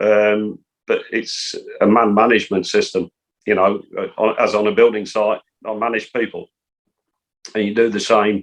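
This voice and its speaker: A man with an English accent speaks at a moderate pace. His speech is broken by long, frequent pauses. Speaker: football coach. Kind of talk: interview. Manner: soft-spoken.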